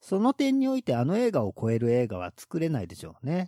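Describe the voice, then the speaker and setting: A man's pitch swings very widely as he talks fairly quickly, captured in a very clean recording with a silent background. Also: dry, close sound with no echo. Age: 40s. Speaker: horror film podcast host. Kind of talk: casual chat.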